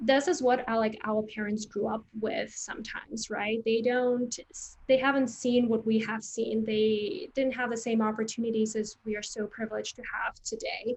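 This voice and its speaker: Speaking with a non-native accent, a woman uses a fairly high pitch, a moderate pace and fairly even intonation. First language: Vietnamese. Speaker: creative recruiter and career coach. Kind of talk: interview.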